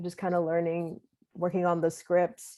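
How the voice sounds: A woman speaks at a moderate pace with monotone, flat intonation. Her fairly low voice has a dark, mellow tone.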